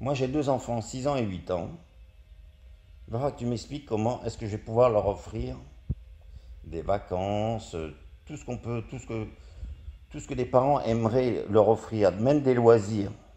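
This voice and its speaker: A man with a dark, mellow tone talks at a moderate pace, his loudness swinging widely between long, frequent pauses. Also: medium pitch for a man, ordinary pitch variation. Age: 60s. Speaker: angry citizen vlogger. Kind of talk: political rant. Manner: halting.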